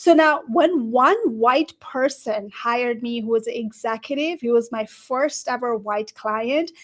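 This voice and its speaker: With a Nepali accent and an animated tone, a woman speaks in a high voice at a moderate pace with ordinary pitch variation on a very clean recording with a silent background. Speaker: career coach. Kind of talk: panel discussion.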